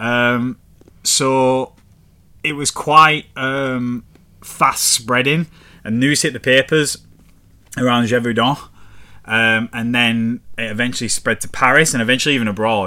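A man with a northern English accent, medium in pitch, bright and sharp in tone, at a fairly slow pace with fairly even intonation and long, frequent pauses. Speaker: podcast host. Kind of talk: casual podcast storytelling. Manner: casual, swearing, chatty.

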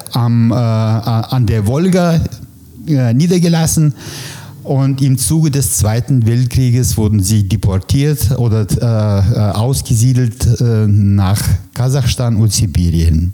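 Over noticeable background noise, a man with a Russian accent talks very slowly at a medium pitch, his intonation lively and his loudness very even. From former Soviet Union (ethnic German, Kazakhstan). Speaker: press photographer. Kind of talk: interview. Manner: hesitant, many fillers.

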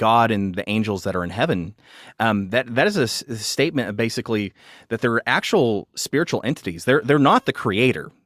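A man speaks at a medium pitch with ordinary pitch variation. The recording is very clean, with a silent background and a dry, close sound with no echo. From West Texas. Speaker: pastor and author. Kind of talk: interview about theology. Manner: hesitant, many fillers.

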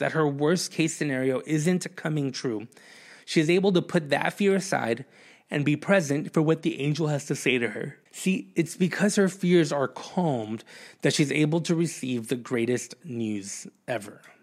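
A man with a normal speaking voice, fairly high in pitch, moderate in pace, lively in intonation, in a very clean recording with a silent background. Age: 30s. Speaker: pastor. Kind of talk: sermon. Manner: conversational, with frequent fillers.

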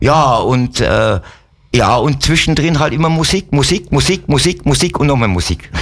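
A man speaks at a fairly high pitch and a moderate pace, his voice carrying vocal fry. His intonation is lively and his loudness very even. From Upper Bavaria (Wolfratshausen). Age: 60s. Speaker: musician and sled dog musher. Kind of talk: casual interview chat. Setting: radio studio.

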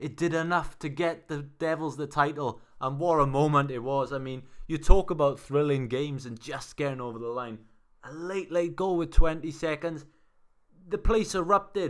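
In a Welsh accent, a man talks with big swings in loudness. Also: ordinary pitch variation, moderate pace. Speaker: sports podcast host. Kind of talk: casual sports chat.

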